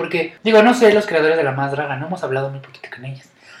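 A man talks in a fairly high voice with ordinary pitch variation. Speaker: podcast host. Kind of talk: casual chat. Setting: recording at home.

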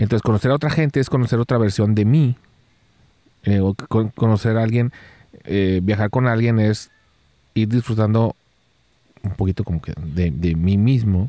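A man speaks in a dark, mellow tone, the sound dry and close with no echo. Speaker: podcast co-host, photographer. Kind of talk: casual chat. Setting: rented cabin, Nuevo León.

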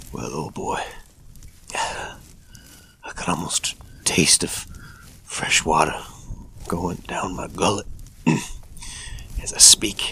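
A put-on character voice, gruff and raspy with a weary tone, moves at a fairly slow pace. Long pauses come often. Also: man, very deep, low pitch for a man. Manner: folksy, weary, talking to his horse.

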